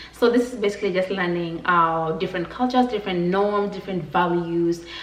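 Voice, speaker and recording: With audible room echo and noticeable background noise, a woman talks at a fairly quick pace in a medium pitch, her pitch varying in an ordinary way. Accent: Kenyan. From Kenya. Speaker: vlogger. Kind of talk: casual vlog talk to camera. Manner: animated.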